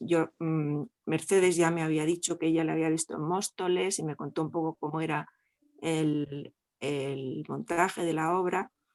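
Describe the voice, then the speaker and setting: A woman's fairly low voice at a fairly slow pace, with a dry, close sound and no echo. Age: 60s. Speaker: audience member. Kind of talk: testimony. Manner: halting.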